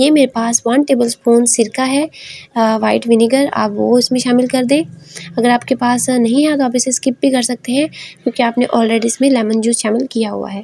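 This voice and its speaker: With fairly even intonation, a woman speaks at a moderate pace in a high pitch and a dark, mellow tone. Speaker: cooking channel host. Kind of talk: cooking tutorial. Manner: hesitant fillers (uh).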